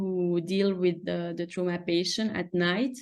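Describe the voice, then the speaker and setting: In a French accent, a woman speaks fairly slowly at a fairly low pitch with fairly even intonation. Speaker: surgical resident. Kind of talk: webinar presentation. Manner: halting.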